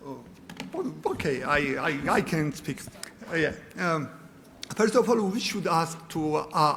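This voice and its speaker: A man with a high voice speaks fairly slowly and with lively intonation, leaving long, frequent pauses, and the room echo is audible. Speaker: conference panelist. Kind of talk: conference presentation.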